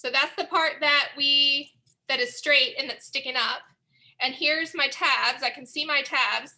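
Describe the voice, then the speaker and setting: In a raised, projected voice, a woman speaks at a fairly slow pace with a bright, sharp tone and ordinary pitch variation. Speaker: museum art educator. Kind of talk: tutorial.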